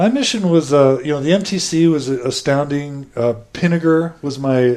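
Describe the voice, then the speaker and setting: A man with an unremarkable speaking voice and an American accent talks at a fairly high pitch and a fairly slow pace, with ordinary pitch variation and hardly any pauses. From Texas (Houston). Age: 30s. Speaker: podcast host. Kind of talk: interview, telling own life story. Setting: at home.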